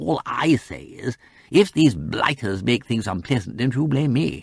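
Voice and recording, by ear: A man puts on a character voice at a medium pitch, with vocal fry and a slightly husky edge. He talks at a fairly slow pace with big pitch swings.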